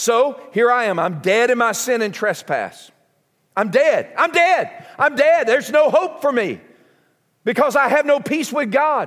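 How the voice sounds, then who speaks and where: A man with a Southern US accent speaks at an extremely high pitch. His intonation is lively and his pace fairly slow. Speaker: pastor. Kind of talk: sermon. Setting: church.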